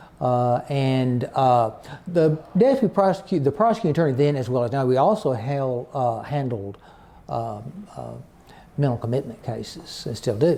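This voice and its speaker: A dark, mellow tone at a moderate pace, with lively intonation and an Arkansas accent. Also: man, medium pitch for a man. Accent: Southern US (Arkansas). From Arkansas Delta. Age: 60s. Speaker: retired county attorney. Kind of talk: oral history interview. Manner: halting, many fillers.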